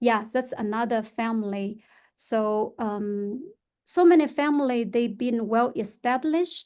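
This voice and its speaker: With a Chinese accent, a woman speaks at a fairly slow pace and a fairly high pitch. Her pitch variation is ordinary, and the background is quiet. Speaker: real estate agent. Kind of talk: podcast interview. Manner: halting, many fillers.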